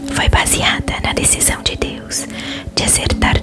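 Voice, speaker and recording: A calm whisper at a fairly slow pace, with music in the background. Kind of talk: ASMR Bible reading for relaxation. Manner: soft, calm, relaxing.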